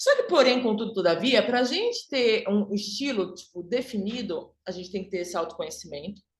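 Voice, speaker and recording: Animated in tone, the voice swings very widely in pitch, with audible room echo. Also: woman. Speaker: image and style consultant. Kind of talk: online workshop lecture.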